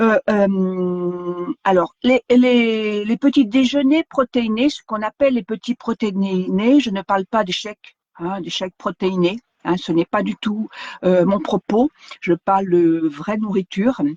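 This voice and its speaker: Speaking at a very slow pace, a woman uses a medium pitch with ordinary pitch variation, recorded with a dry, close sound and no echo. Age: 60s. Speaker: wellness vlogger. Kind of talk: live stream talk. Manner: halting, many fillers.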